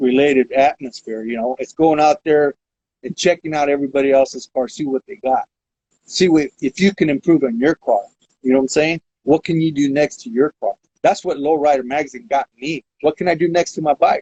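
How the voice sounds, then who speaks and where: This man has an American accent and a plain, everyday voice, pitched fairly high. He speaks at a fairly quick pace with ordinary pitch variation. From Modesto, California. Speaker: lowriding veteran. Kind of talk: interview answer. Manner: casual.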